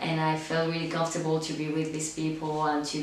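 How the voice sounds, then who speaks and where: In a Spanish accent, a woman talks at a fairly quick pace with a very deep, low pitch and monotone, flat intonation. There is audible room echo and noticeable background noise. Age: 20s. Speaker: actress. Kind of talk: interview. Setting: at home. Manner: halting, with fillers.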